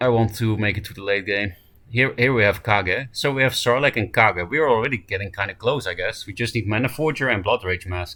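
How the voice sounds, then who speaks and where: A man with a Dutch accent talks at a fairly quick pace and medium pitch. His tone is bright and sharp, with ordinary pitch variation. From Netherlands. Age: 20s. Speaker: card game streamer. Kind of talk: live gameplay commentary.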